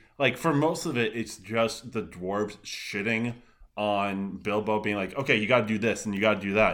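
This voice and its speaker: A man with an unremarkable speaking voice talks at a moderate pace and a fairly low pitch, with ordinary pitch variation. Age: 30s. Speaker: guest podcaster, reviewer. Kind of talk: casual chat.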